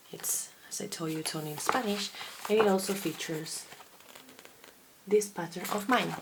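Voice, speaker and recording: A woman speaks with long, frequent pauses and big swings in loudness. Background noise is noticeable. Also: medium pitch for a woman, ordinary pitch variation, moderate pace. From Basque Country, Spain. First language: Basque. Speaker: knitting podcaster and designer. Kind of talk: casual video podcast monologue.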